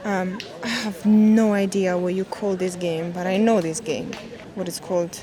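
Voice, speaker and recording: The speaker has a non-native accent. Noticeable background noise is present. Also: woman, medium pitch for a woman, moderate pace. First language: not English. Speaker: travel vlogger. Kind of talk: travel vlog narration. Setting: outdoors.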